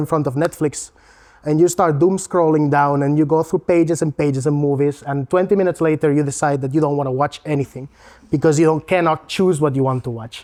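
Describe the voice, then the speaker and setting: With a Spanish accent, a man speaks fairly quickly in fairly even intonation against a quiet background. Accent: non-Latvian accent, Spanish. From Spain. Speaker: learning technology consultant. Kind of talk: presentation. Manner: casual, with fillers and self-corrections.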